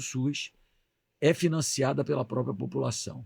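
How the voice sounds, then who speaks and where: The speaker is a man with vocal fry. He talks at a fairly slow pace. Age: 60s. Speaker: doctor. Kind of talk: radio interview.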